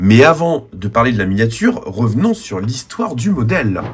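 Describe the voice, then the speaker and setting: A man's voice with vocal fry, very wide pitch swings and a moderate pace. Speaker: diecast model reviewer. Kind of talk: video review narration.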